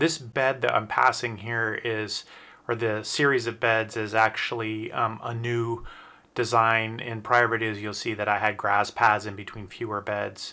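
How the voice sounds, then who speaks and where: A man talks at a fairly slow pace in a monotone, flat intonation. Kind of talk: casual garden tour narration. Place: garden. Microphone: phone near.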